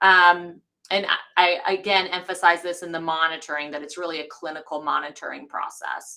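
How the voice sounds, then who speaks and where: A woman with an American accent talks at a fairly quick pace in a fairly low pitch. Her tone is bright and sharp, with monotone, flat intonation. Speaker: hematology specialist physician. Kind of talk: medical lecture. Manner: fast.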